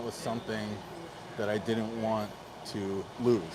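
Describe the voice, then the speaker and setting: Medium-pitched male speech at a fairly slow pace, with audible room echo. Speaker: podcaster sharing weight-loss journey. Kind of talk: personal storytelling monologue.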